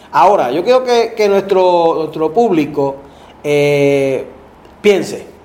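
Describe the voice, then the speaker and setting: Speaking at a very slow pace, a man with a high voice uses lively intonation. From Puerto Rico, Ponce. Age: 50s. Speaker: political candidate. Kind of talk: interview.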